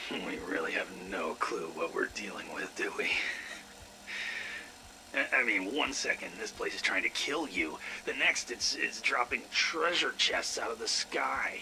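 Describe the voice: A put-on character voice from a man, fairly low in pitch, with a bright, sharp tone, vocal fry, lively intonation, a fairly slow pace and faint background noise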